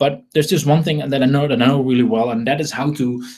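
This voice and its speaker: A man with a Dutch accent, medium-pitched and very fast. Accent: Dutch accent, noticeable. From Netherlands. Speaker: online marketing trainer. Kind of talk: webinar sales presentation. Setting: live webinar. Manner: halting, many repetitions and fillers.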